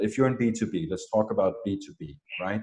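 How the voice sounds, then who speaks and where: A man with a non-native accent speaks in a fairly low pitch for a man, with a dark, mellow tone and ordinary pitch variation. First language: not English. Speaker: marketing expert. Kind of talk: interview.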